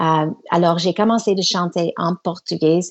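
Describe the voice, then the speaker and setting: A woman with an English Canadian accent speaks with ordinary pitch variation. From Canada, Toronto. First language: English (speaking French). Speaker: singer. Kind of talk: radio interview. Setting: remote line from Quebec City. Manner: halting, many hesitations.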